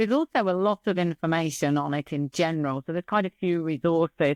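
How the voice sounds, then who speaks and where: A woman with an English accent speaks at a moderate pace in a fairly low voice with ordinary pitch variation. The recording is very clean with a silent background, and the sound is dry and close with no echo. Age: 60s. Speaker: business psychologist. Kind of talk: interview. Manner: animated.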